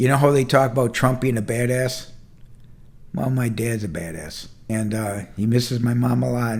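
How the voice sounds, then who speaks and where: This man has an unremarkable speaking voice, moderate pace, and medium pitch that rises and falls ordinarily. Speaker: entrepreneur and mentor. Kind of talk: casual talk to camera. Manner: conversational, candid, heartfelt.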